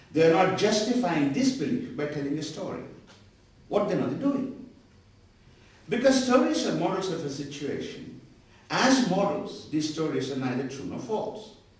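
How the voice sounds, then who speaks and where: A man talks at a moderate pace in a high pitch, with very wide pitch swings and long, frequent pauses. Noticeable background noise and audible room echo are present. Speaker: professor. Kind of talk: lecture.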